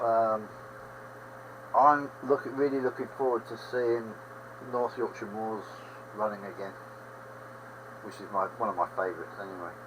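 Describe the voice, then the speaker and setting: A man with an English accent and medium pitch speaks at a moderate pace with ordinary pitch variation, big swings in loudness and long, frequent pauses over noticeable background noise. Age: 70s. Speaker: livestream host, railway modeller. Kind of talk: casual chat. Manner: rambling conversational.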